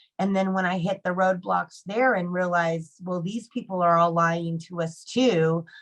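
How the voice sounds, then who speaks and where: A woman with an American accent has a plain, everyday voice, fairly low in pitch. She talks at a moderate pace with fairly even intonation and hardly any pauses. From Arizona. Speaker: Marine Corps veteran and advocate. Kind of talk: panel discussion. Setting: video call.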